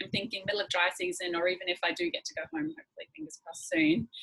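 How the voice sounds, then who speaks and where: Bright and sharp in tone, a woman with an Australian accent talks at a fairly quick pace, with medium pitch and lively intonation. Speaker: secondhand fashion workshop presenter. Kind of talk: online workshop, casual show-and-tell.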